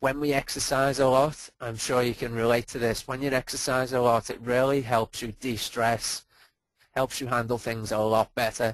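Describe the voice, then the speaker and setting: A man with a Liverpool accent speaks at a moderate pace in a medium pitch, his intonation flat and monotone, against a quiet background. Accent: Liverpool (Scouse). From Liverpool, England. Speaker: performance coach. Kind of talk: webinar presentation. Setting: online webinar.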